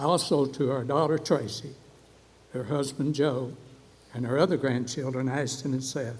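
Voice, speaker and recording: Speaking in an Appalachian accent, a man with a fairly high pitch sounds somewhat breathy at a moderate pace. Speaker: award recipient, coffee shop owner. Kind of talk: award acceptance speech.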